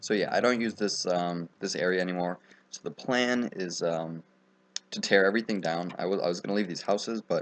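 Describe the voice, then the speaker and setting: The pace is fairly quick, with ordinary pitch variation. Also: man, very deep, low pitch for a man. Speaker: gaming youtuber. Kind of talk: gameplay commentary. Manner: fast; casual, many filler ums.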